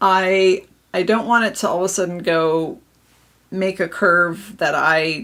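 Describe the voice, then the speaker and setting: This woman has a medium-pitched voice with a bright, sharp tone. She speaks with an American accent. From Minnesota. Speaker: papercraft demonstrator. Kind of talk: live craft tutorial.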